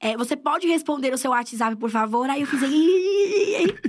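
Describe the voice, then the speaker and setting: A woman talks at a fairly quick pace in an animated tone. The recording is very clean, with a silent background. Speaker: comedian and screenwriter. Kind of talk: casual chat.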